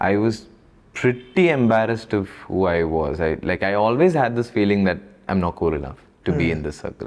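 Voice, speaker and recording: Speaking with a Keralan accent, a man talks at a fairly quick pace in a fairly low pitch with lively intonation. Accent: Malayali. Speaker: actor. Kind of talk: interview answer. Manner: casual, reflective.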